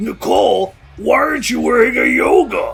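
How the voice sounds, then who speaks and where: Over faint background music, a man talks at a moderate pace in a put-on character voice. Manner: slurred, confused.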